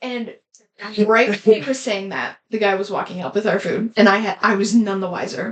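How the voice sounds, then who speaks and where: A woman speaks at a moderate pace. Her pitch is medium, with ordinary variation. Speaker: podcast co-host. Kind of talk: casual chat. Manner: loud; animated.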